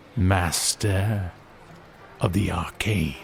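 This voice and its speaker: A man's put-on character voice, very deep and low, over clear background noise. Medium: audio drama. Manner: measured, condescending.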